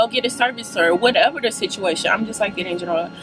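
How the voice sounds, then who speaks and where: A woman speaks very fast in a dry recording with no echo and noticeable background noise. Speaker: vlogger. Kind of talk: casual vlog chat. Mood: playful, animated. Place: car. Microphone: phone near.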